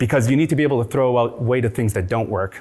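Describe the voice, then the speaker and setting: This man's voice sits at a medium pitch and moves with ordinary pitch variation. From immigrant from a war-torn country. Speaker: startup founder and CEO. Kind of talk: conference talk. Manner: fast.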